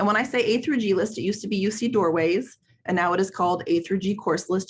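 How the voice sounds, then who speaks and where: Her voice somewhat breathy, a woman speaks at a medium pitch with ordinary pitch variation. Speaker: school counselor and workshop presenter. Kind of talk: webinar presentation. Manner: fast; many fillers (um).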